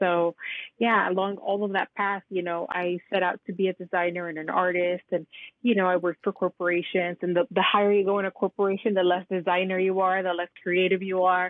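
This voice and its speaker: Talking at a fairly quick pace, a woman keeps her medium pitch in a monotone, flat intonation. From Mexico, then Miami from age seven. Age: 40s. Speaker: curandera, herbalist and author. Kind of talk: interview conversation. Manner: casual, filler-heavy ('you know', 'like').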